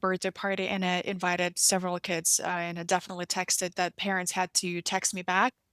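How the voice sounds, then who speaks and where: A woman with a Russian accent on a very clean recording with a silent background. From Russian-speaking country. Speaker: podcast host. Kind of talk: interview conversation. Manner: halting, with many fillers and restarts.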